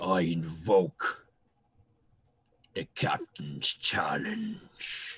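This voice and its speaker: Using a booming, raspy put-on character voice, a man speaks very slowly with long, frequent pauses, the sound dry and close with no echo. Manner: commanding, challenging.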